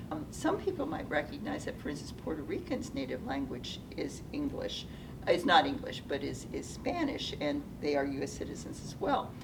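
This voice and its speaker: Amid audible room echo and noticeable background noise, a woman with a General American accent speaks at a moderate pace. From US Pacific Northwest, Seattle. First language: Japanese. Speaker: retired nonprofit executive. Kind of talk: interview. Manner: hesitant, many fillers.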